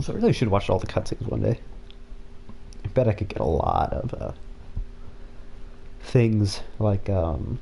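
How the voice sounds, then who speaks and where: A man mumbles as he speaks. He leaves long, frequent pauses. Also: moderate pace. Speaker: gaming streamer. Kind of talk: live gameplay commentary. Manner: mumbling. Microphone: sensitive mic picks up far sounds.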